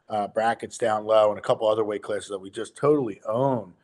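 A man talks at a fairly quick pace. Behind him, the background is quiet. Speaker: wrestling analyst co-host. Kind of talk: commentary. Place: home room. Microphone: video call.

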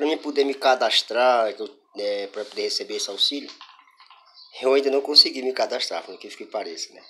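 There is light background noise as a man speaks. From Brazil. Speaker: singer-songwriter and YouTuber. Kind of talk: vlog monologue. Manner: halting, many fillers. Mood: frustrated, complaining. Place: home room. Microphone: phone near.

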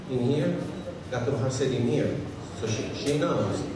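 A man's voice with ordinary pitch variation, strong room echo and noticeable background noise. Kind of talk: assembly address. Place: hall.

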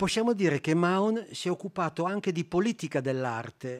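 A man is speaking over a quiet background. His pitch shows ordinary variation. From Italy. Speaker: art historian; art historian lecturer. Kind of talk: lecture. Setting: stage with audience. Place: hall. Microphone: podium.

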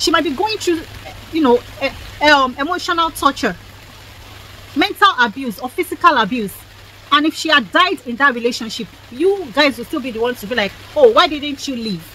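Over light background noise, a woman with a Nigerian accent talks in a raised, projected, animated voice at a high pitch and fairly quick pace, with very wide pitch swings and long, frequent pauses. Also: big swings in loudness, dry sound with no echo. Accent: Nigerian (Yoruba) English. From Nigeria (Yoruba). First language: Yoruba. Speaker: lifestyle vlogger. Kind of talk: opinion monologue vlog. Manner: animated, repetitive. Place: street.

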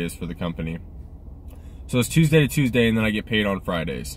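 A man speaks with very wide swings in pitch, in a dry recording that has no echo. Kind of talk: casual vlog chat. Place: car. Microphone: phone near.

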